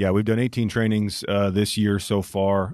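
A man speaking in a flat monotone. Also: very clean recording, silent background. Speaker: training center director. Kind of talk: casual interview. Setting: studio.

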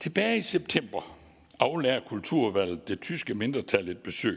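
A man with a Southern Jutland accent at a moderate pace, in a very clean recording with a silent background. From Southern Jutland, Denmark (Vojens). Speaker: Danish parliament committee chair. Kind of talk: formal conference speech.

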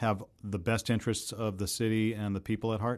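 A man with an American accent talks at a fairly quick pace in a plain, everyday voice. His pitch is fairly low. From Boston, Massachusetts. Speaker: podcast host. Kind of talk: interview; scripted narration.

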